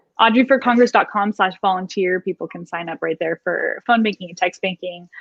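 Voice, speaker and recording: A woman at a medium pitch and a fairly quick pace, with ordinary pitch variation, big swings in loudness, and a dry, close sound with no echo. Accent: Californian. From northern California. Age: 30s. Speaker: political candidate. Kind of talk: interview. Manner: animated.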